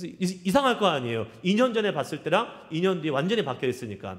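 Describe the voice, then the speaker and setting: A man speaks with vocal fry and very wide pitch swings. Room echo is audible. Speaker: pastor. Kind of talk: sermon.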